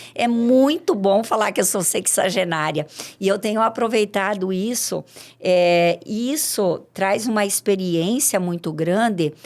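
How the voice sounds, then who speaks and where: A woman talks in an ordinary speaking voice with ordinary pitch variation. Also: medium pitch for a woman, fairly slow pace. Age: 60s. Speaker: farmer. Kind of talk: podcast interview.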